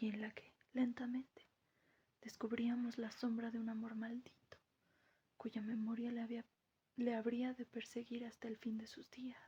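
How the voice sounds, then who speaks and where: Soft-spoken, the voice moves at a fairly slow pace. Long pauses come often. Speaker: audiobook narrator. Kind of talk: reading aloud. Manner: quiet.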